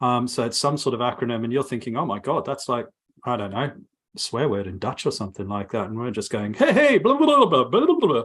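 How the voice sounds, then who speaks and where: A man speaks very fast at a medium pitch. His pitch varies in an ordinary way. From Africa and Australia. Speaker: software testing podcast co-host. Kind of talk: casual panel chat. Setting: live stream. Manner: halting, many fillers.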